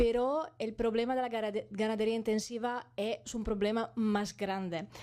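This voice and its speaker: A woman's fairly high, dark and mellow voice with an Italian accent, fairly even intonation and a moderate pace. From Italy, Bologna. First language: Italian (speaking Spanish). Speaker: animal welfare campaigner. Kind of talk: conference talk. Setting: parliament conference hall. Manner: halting, many fillers.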